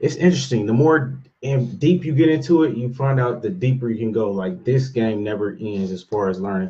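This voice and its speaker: Lively intonation runs through a man's somewhat breathy speech. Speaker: real estate investor vlogger. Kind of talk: casual daily vlog monologue. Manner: fast; halting, many fillers.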